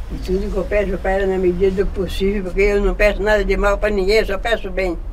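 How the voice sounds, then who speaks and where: A woman's very fast, medium-pitched speech with monotone, flat intonation, audible room echo and noticeable background noise. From Brazil, Minas Gerais. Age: 80s+. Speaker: cemetery devotee. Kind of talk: casual interview.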